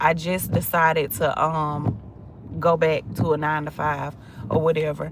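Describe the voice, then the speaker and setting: A woman's very deep, low voice amid noticeable background noise. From Georgia, US South. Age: 30s. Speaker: social media coach and content creator. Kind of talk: casual livestream chat. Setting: in a car in traffic. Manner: casual, conversational.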